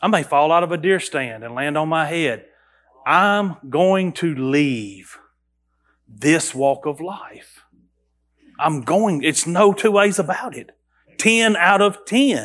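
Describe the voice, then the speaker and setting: High-pitched for a man, this voice has lively intonation. He talks at a very slow pace with long, frequent pauses. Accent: Southern US. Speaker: pastor. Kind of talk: sermon. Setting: church. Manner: loud; halting.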